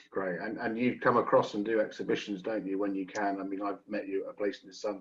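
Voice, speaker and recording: This man talks very fast in a British accent. His voice is fairly low, with fairly even intonation. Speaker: webinar host. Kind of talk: webinar moderation.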